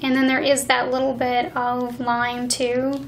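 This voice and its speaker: Noticeable background noise runs beneath a woman speaking at a high pitch. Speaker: beauty reviewer. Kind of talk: ASMR beauty product review. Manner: soft-spoken.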